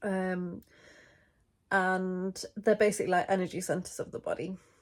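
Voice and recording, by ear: A woman speaks with a fairly low pitch, a slightly mellow tone and fairly even intonation.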